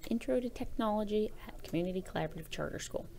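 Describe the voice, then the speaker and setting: Showing vocal fry, a woman at a medium pitch speaks with very wide pitch swings. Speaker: teacher. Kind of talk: tutorial. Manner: casual.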